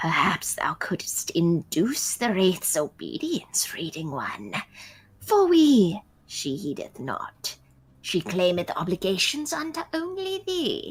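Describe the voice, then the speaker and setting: In a put-on character voice, the speaker talks at a fairly slow pace with a fairly high pitch. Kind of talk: archaic formal speech. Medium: game stream.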